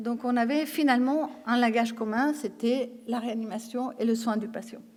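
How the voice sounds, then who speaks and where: A woman talks in a Spanish accent at a fairly slow pace. Her pitch is fairly high, with fairly even intonation. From Spain. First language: Spanish (speaking French). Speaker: intensive care nurse trainer. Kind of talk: conference talk. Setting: conference stage with audience. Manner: hesitant, many fillers and repetitions.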